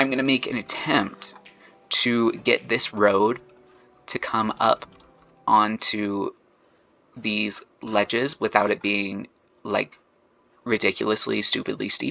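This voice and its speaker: A man's relaxed voice at a very slow pace, with long, frequent pauses and a dry, close sound with no echo. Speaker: video game streamer. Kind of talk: casual gameplay commentary. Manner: frequent filler words; casual, relaxed.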